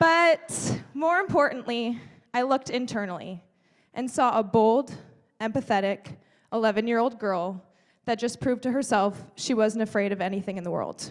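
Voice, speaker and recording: In a plain, everyday voice, a woman talks at a moderate pace with a fairly high pitch and lively intonation. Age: 20s. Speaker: speaker. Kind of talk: keynote speech. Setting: stage with audience.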